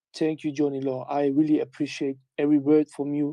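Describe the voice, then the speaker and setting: A man with a German accent and a fairly high pitch, at a moderate pace, in a monotone with flat intonation. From Germany. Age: 20s. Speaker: community member. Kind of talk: casual call with community. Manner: halting.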